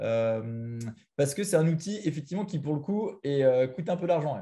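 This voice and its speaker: The man's voice is pitched fairly high with a dark, mellow tone and some breathiness. The background is quiet. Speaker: product manager presenting a software tool. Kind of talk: webinar presentation with Q&A. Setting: online video call with screen share. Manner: very fast; hesitant, many fillers.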